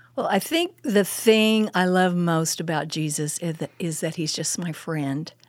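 The speaker has an American accent and talks at a fairly slow pace. There are hardly any pauses, and the pitch varies in an ordinary way. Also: woman, fairly low pitch for a woman. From Oklahoma, Muskogee and Midwest City. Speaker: women's ministry speaker, former pastor. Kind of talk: casual interview with teaching. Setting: studio.

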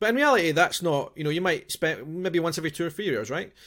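Over a very clean recording with a silent background, a man with a Scottish accent talks at a very fast pace with lively intonation. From Scotland. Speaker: podcast host. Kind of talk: casual interview chat.

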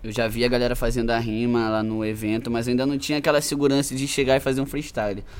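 Very fast, nearly pause-free speech from a man at a medium pitch, with fairly even intonation. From Brazil, Macaé (Rio de Janeiro state). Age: 20s. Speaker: rapper. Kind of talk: casual chat.

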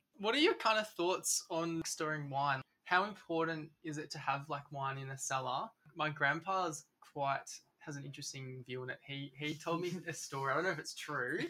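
A man with an Australian accent speaks at a moderate pace in a fairly high voice, his tone bright and sharp, with ordinary pitch variation. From Melbourne, Australia. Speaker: podcast co-host. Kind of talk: interview. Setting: wine cellar.

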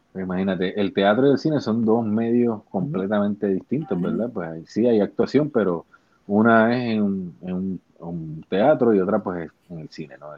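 At a moderate pace, a man with a fairly low pitch talks with ordinary pitch variation and big swings in loudness. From Puerto Rico, Bayamón. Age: 40s. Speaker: actor. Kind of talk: interview.

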